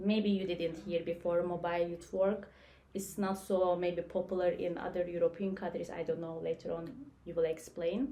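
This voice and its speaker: A woman's fairly low voice in a Turkish accent, with fairly even intonation at a moderate pace. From Turkey. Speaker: youth worker. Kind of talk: casual discussion.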